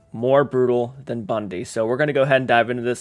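Faint music can be heard behind the speech. A man talks very fast. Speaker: reaction channel host. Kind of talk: casual vlog chat. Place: home room.

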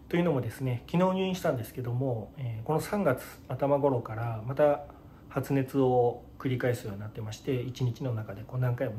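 There is light background noise as a man talks at a moderate pace. His voice is somewhat breathy, with a dark, mellow tone. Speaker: vlogger in hospital. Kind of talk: casual vlog chat. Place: home room. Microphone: phone near.

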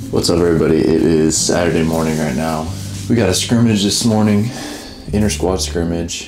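A man with a very deep, low pitch speaks at a fairly quick pace amid audible room echo and light background noise. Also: ordinary pitch variation. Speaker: college football player vlogger. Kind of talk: casual vlog chat. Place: home room. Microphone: camera far.

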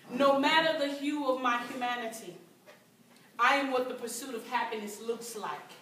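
A woman with an American accent at a moderate pace, fairly high in pitch with ordinary variation, amid light background noise and audible room echo. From United States. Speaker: performance poet. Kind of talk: live spoken word poetry performance. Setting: live event room, amateur recording. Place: hall. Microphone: camera far.

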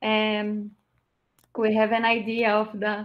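A woman's fairly high voice with a Portuguese accent. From Brazil. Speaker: event moderator. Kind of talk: formal introduction and Q&A moderation. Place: home room.

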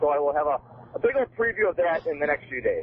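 The speech moves at a very fast pace. Noticeable background noise can be heard. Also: man. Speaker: wrestling fan caller. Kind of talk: casual chat. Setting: phone call.

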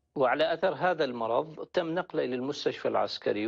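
A man with a fairly high pitch speaks in an Iraqi accent over a quiet background. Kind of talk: testimony. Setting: phone call. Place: studio.

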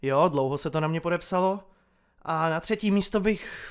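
At a moderate pace, a man with a plain, everyday voice speaks with lively intonation in a very clean recording with a silent background. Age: 20s. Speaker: YouTuber. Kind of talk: casual Q&A monologue.

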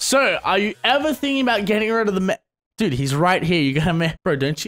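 With an Australian accent, a man speaks very fast in an animated tone. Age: 20s. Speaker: gaming youtuber. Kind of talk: casual Q&A vlog. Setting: home, on webcam at computer. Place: home room. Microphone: studio mic.

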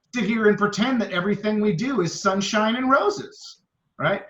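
A loud, animated man with a bright, sharp tone at a moderate pace. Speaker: mayor. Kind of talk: heated debate.

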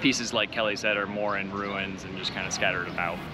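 A man talks fairly quickly in a dry sound without echo, with noticeable background noise behind him. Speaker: travel vlogger. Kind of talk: casual vlog chat. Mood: cheerful, light laughing. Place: open country. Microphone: phone near.

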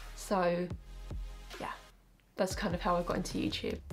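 At a fairly quick pace, a woman talks with a southern English accent. Faint music can be heard behind her. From Essex, England. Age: 20s. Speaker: YouTuber. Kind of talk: casual talk to camera. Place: home room.

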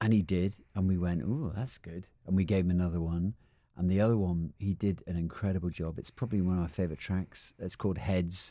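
Against a quiet background, a man speaks in a very deep, low voice with fairly even intonation and a dry sound with no echo. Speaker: guest. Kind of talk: interview answer. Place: studio. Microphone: studio mic.

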